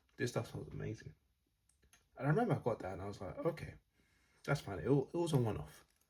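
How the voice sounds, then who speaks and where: Speaking very fast at a medium pitch, a man shows vocal fry, very wide pitch swings and big swings in loudness. Long pauses come often. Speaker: fragrance reviewer. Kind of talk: casual vlog talk. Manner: hesitant, many fillers.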